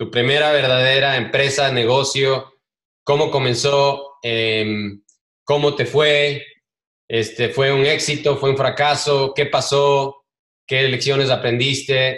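Speaking at a very slow pace with long, frequent pauses, a man with a fairly high pitch keeps a monotone, flat intonation and very even loudness. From Ecuador. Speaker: podcast host. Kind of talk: interview.

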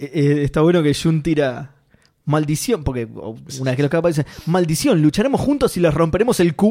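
With a Rioplatense accent, a man talks at a moderate pace in a fairly high voice, his intonation lively and his loudness very even. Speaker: podcast co-host. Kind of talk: casual chat.

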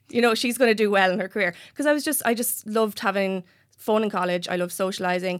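Very fast speech with an Irish accent, ordinary pitch variation, and a very clean recording with a silent background. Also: woman, medium pitch for a woman. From Ireland, County Wexford. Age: 30s. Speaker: magazine editor. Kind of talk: casual chat.

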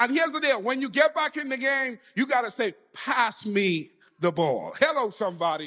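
This man's voice is extremely high-pitched, raised and projected, with a bright, sharp tone. He sounds animated, and his pitch swings very widely. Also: moderate pace. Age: 40s. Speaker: pastor. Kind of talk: sermon. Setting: church.

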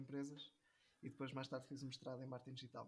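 A man speaks with a northern Portuguese accent in a flat, monotone intonation. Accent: northern European Portuguese. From northern Portugal. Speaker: digital marketing professional. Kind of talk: casual interview chat.

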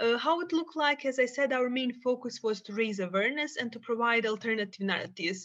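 In a Bosnian accent, a woman with a high voice talks at a very fast pace with lively intonation. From Bosnia and Herzegovina. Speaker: psychologist and peacebuilding activist. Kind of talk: podcast interview.

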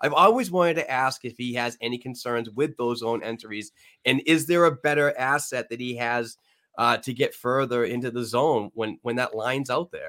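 With a New England accent, a man speaks at a medium pitch and a moderate pace, his bright, sharp tone showing ordinary pitch variation on a very clean recording with a silent background. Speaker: podcast host. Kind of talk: live-streamed sports podcast chat. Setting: live stream.

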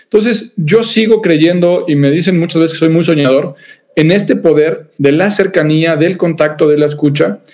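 At a moderate pace, a man with a high voice speaks at very even loudness with ordinary pitch variation. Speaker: psychologist, organizational culture expert. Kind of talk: interview conversation.

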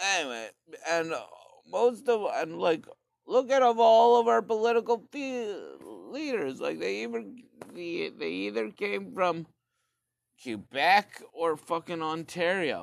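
A man speaks at a fairly slow pace with high pitch. His voice moves in very wide pitch swings. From Canada. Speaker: solo podcaster. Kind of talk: casual rant monologue. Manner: animated.

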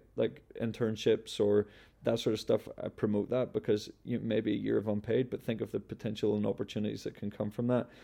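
With a Northern Irish accent, a man with a fairly low pitch talks at a fairly quick pace, his fairly even intonation marked by vocal fry. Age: 20s. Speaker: founder of a clothing company. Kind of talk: interview.

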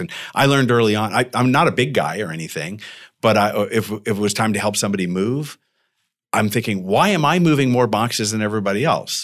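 A man with an unremarkable speaking voice and an American accent speaks at a fairly low pitch with lively intonation. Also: very clean recording, silent background. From Arizona, Tucson. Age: 50s. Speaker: serial entrepreneur. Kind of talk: interview. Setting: co-working space.

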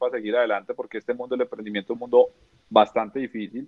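A man talks at a very fast pace. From Colombia, Neiva, Huila. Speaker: entrepreneur, finance company founder. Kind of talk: casual interview chat. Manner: halting, many repetitions and fillers.

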